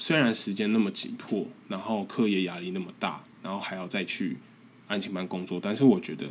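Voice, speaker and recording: With a strong Taiwanese accent, a man talks with lively intonation. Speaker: podcast host, graduate student abroad. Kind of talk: casual solo monologue. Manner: halting, with repetitions.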